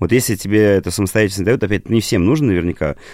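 A man's fairly low voice at a very fast pace, with ordinary pitch variation, in a very clean recording with a silent background and a dry, close sound without echo. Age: 30s. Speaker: creative director and design teacher. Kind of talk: casual chat.

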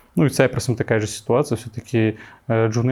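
Words come at a very fast pace. The man's pitch is medium. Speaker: frontend developer and coding teacher. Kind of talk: casual interview chat.

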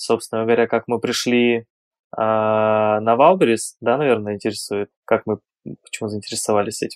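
Recorded dry and close with no echo, a man talks at a moderate pace in an ordinary speaking voice, at a medium pitch with fairly even intonation. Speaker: online seller. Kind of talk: interview.

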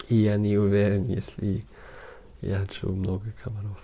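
This man speaks with a German accent, his fairly low voice carrying a dark, mellow tone. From Germany, Munich. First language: German (speaking Russian). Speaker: documentary photographer. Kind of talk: interview. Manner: halting, with many fillers.

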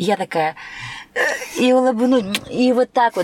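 The tone is animated, with lively intonation. Noticeable background noise runs underneath. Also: woman. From Turkmenistan. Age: 30s. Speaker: dance teacher. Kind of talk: casual chat.

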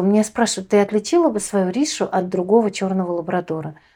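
At a moderate pace, a woman talks at medium pitch with a dark, mellow tone and ordinary pitch variation. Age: 30s. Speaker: visually impaired guide dog owner, accessibility project member. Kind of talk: casual interview.

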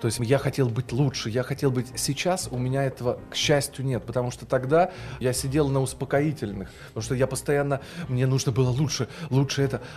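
A man at medium pitch with vocal fry, fairly even intonation, and a fairly quick pace. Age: 30s. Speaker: TV news presenter and speech teacher. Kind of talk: casual podcast interview.

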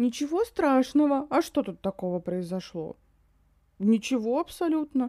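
A woman's dark, mellow tone with very wide pitch swings and a dry, close sound with no echo. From Yakutia, Russia. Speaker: podcast co-host. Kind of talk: casual chat about films. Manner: animated, swears often.

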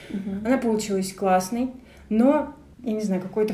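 Very fast and somewhat breathy, a woman speaks at a medium pitch with a dark, mellow tone. Room echo is audible. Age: 20s. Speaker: creative producer and photographer. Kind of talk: casual chat.

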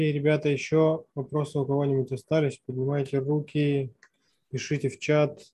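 A man talks fairly quickly at a fairly high pitch, his tone dark and mellow. His delivery is somewhat breathy, with monotone, flat intonation. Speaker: moderator. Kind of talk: moderating q&a. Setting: video call.

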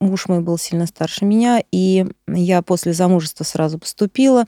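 This woman has a medium pitch and a dark, mellow tone with ordinary pitch variation. The sound is dry and close, with no echo. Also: very clean recording, silent background. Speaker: artist and teacher, mother of six. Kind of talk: casual chat.

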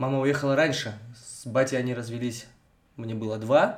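A man talks at a moderate pace in a medium pitch. Audible room echo surrounds his voice. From Russia, Vologda region (Cherepovets area). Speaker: podcast co-host. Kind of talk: casual chat.

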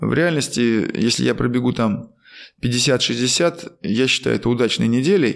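A man at medium pitch with ordinary pitch variation, vocal fry, a fairly slow pace and very even loudness. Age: 50s. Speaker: former marathon runner and running coach, podcast host. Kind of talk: casual interview.

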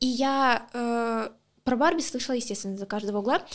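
A high-pitched woman's voice at a moderate pace with ordinary pitch variation, on a very clean recording with a silent background. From Luhansk, Ukraine. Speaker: podcast co-host. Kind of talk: casual chat.

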